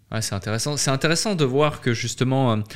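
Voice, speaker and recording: The man has an unremarkable speaking voice at a medium pitch. His pitch varies in an ordinary way. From French-speaking Switzerland. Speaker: podcast host. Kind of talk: interview.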